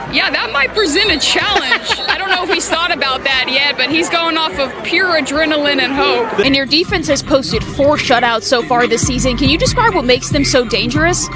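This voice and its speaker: Over music in the background, a woman speaks in a raised, projected voice. Her pitch is high and her intonation lively. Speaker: sports broadcaster, sideline reporter. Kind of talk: sports broadcast reporting.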